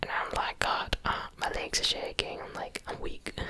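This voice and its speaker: Someone whispers in an American accent over noticeable background noise. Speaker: ASMR content creator. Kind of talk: whispered ASMR ramble to camera. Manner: whispered, soft-spoken.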